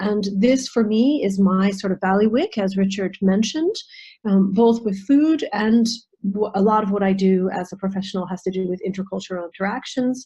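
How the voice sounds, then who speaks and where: Somewhat breathy and dark, mellow in tone, a woman with an American accent talks at a moderate pace and medium pitch with ordinary pitch variation. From United States. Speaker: nutritional therapist and intercultural trainer. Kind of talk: online presentation. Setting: video call.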